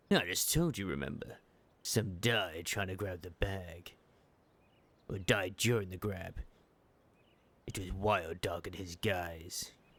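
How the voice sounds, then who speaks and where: A man puts on a raspy character voice at a fairly low pitch. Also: very clean recording, silent background. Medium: game stream. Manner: cocky, casual slang.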